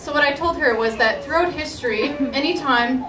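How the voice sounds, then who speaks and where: A high-pitched woman speaks at a moderate pace amid audible room echo and noticeable background noise. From Alberta, Canada (Edmonton). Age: 20s. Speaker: pro-life activist. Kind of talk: testimony.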